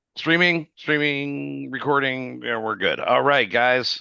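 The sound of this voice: A man speaks at a slow pace in a medium pitch, with vocal fry, a clear, smooth tone that is also bright and sharp, and fairly even intonation.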